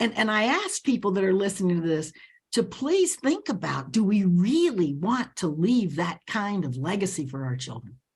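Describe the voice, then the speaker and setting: Speaking at a moderate pace with an American accent, a woman uses an animated tone, a medium pitch, very wide pitch swings and vocal fry. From Nicaragua, raised in the US from age three. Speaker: leadership author and advocate. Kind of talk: interview.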